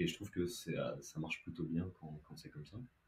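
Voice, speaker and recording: A man speaks with a very deep, low pitch and a dark, mellow tone that is somewhat breathy. His intonation is lively. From southern France (Montauban). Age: 20s. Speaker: sophrologist and hypnotherapist. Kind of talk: podcast interview. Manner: hesitant, many fillers.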